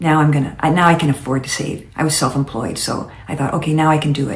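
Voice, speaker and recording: A woman speaks with a very deep, low pitch and a monotone, flat intonation. There is audible room echo. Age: 70s. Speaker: lifestyle vlogger. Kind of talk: casual monologue. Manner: halting.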